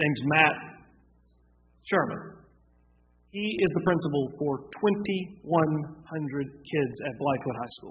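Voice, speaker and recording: A man with an American accent speaks at a fairly high pitch. His pace is moderate and his pitch varies in an ordinary way. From US South, South Carolina (Gaffney). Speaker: town council member. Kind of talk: public meeting discussion.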